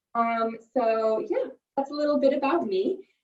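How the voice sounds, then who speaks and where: An American accent from a woman with high pitch, at a moderate pace, with music in the background. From New York, US. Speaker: corporate trainer. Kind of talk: webinar presentation. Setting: video call from home office.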